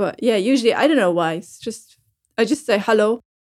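This woman has a German accent. Her pitch is fairly high. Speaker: radio presenter. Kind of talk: casual chat.

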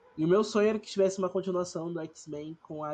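Noticeable background noise is present throughout. A man talks fairly quickly with ordinary pitch variation. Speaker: podcast host. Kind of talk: casual chat.

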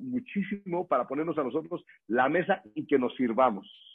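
This man talks at a moderate pace with a Mexican accent. His intonation is lively. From Mexico, Morelia, Michoacán. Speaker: network marketing distributor and trainer. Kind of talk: motivational training talk.

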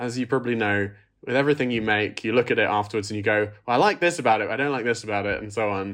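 In an English accent, a man talks at a medium pitch with ordinary pitch variation against a quiet background. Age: 30s. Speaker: film director. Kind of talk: interview.

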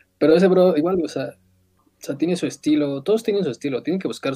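Here is a man with a fairly high pitch and a dark, mellow tone. He moves at a fairly quick pace with ordinary pitch variation. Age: 20s. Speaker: photographer and graphic designer. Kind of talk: casual interview.

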